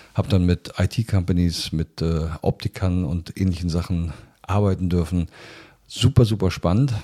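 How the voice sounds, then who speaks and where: In a very clean recording with a silent background and a dry, close sound with no echo, a man speaks in a very deep, low, somewhat breathy voice with a dark, mellow tone. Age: 60s. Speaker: biologist and business executive. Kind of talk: interview.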